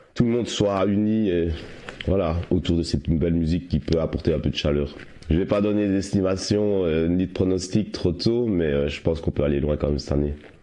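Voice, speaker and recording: Over noticeable background noise, a man with a very deep, low pitch talks at a fairly quick pace with ordinary pitch variation. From Belgium, Liège province. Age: 30s. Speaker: amateur musician and football supporter. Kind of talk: interview.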